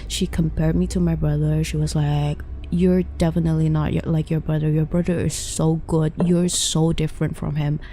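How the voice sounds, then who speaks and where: A woman's voice at very even loudness, with hardly any pauses and noticeable background noise. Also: moderate pace. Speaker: vtuber streamer. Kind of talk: casual chat.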